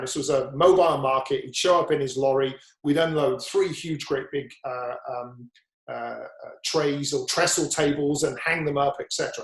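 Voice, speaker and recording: Somewhat breathy speech from a man, fairly high in pitch, at a moderate pace with ordinary pitch variation. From West Country, England (Devizes, Wiltshire). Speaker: entrepreneur. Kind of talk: podcast interview. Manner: animated storytelling.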